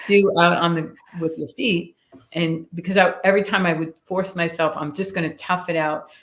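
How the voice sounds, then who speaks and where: With an American accent, a woman uses a normal speaking voice at a fairly low pitch, fairly even intonation and a moderate pace. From New York (Staten Island, then upstate). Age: 60s. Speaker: firearms instructor. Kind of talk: casual interview chat.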